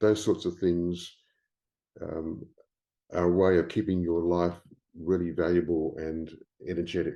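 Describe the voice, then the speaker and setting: Over a quiet background, the speaker uses a dark, mellow tone with an Australian accent, talking at a fairly slow pace in a monotone, flat way with long, frequent pauses. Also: man, very deep, low pitch for a man. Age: 70s. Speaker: writer and publisher. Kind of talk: interview. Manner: hesitant, many fillers.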